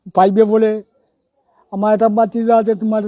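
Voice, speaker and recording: A man's high-pitched voice, dark and mellow in tone, monotone and flat, with a strong Sylheti accent, in a dry, close recording with no echo. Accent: strong rural Sylheti. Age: old. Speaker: villager, father of complainant. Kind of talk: statement to the press.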